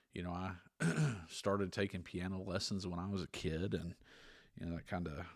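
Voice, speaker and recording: Very clean and with a silent background, this recording has a man speaking at a fairly quick pace. His very deep, low pitch stays monotone and flat. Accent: Southern. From US South, East Tennessee. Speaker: podcast co-host, former music teacher. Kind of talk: casual chat. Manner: relaxed, laid-back.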